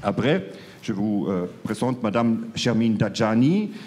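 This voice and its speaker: Fairly slow speech from a medium-pitched man with a strong German accent, with audible room echo. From Germany. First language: German (speaking French). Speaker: panel moderator, foreign newspaper correspondent. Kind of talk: panel debate moderation. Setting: stage with audience at conference. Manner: hesitant, many fillers.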